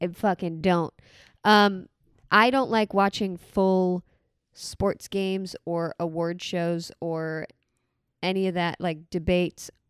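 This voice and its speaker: A woman's medium-pitched voice at a very slow pace, with long, frequent pauses and fairly even intonation, dry and close with no echo, on a very clean recording with a silent background. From Florida (born in Boston). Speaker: comedian. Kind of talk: casual chat. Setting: home recording on a couch.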